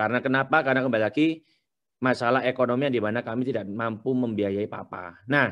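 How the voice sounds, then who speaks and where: A man with a strong Surabaya accent speaks at a very fast pace, medium in pitch, his intonation fairly even. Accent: thick Surabaya Javanese accent (medok). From Surabaya, East Java, Indonesia. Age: young. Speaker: entrepreneur, business founder. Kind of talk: webinar talk, personal life story.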